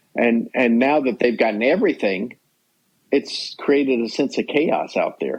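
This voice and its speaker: A man of medium pitch at a moderate pace, with ordinary pitch variation. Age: 60s. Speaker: sportswriter. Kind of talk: podcast interview. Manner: halting.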